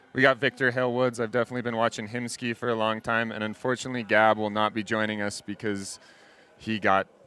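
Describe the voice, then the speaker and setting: A man with an American accent and a fairly low pitch, at a very fast pace. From USA. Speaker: freeride ski commentator. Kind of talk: live commentary. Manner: animated.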